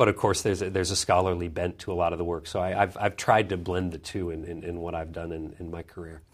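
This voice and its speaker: On a very clean recording with a silent background, a man with a Canadian accent and a very deep, low pitch speaks at a very fast pace with hardly any pauses, monotone, flat intonation and big swings in loudness. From Canada (Vancouver). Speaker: author and foreign policy fellow, former journalist. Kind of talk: interview. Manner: frequent repetitions and fillers.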